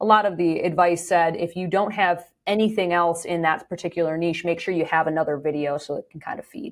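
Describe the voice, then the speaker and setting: A woman's unremarkable speaking voice, fairly low in pitch, at a fairly quick pace with hardly any pauses, fairly even intonation and big swings in loudness. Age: 40s. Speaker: content creator and author. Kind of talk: casual interview chat.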